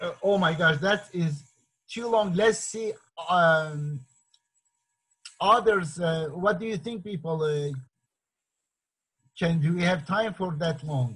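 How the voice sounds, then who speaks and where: A man speaks at a very slow pace with a high pitch. Long, frequent pauses break up his speech. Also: ordinary pitch variation. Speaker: meeting organizer, activist author. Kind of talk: online group discussion moderation. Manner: hesitant, many fillers.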